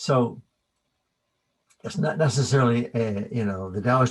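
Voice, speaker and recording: This man's voice sits at medium pitch, somewhat breathy, with ordinary pitch variation. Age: 60s. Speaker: qigong teacher. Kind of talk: keynote lecture.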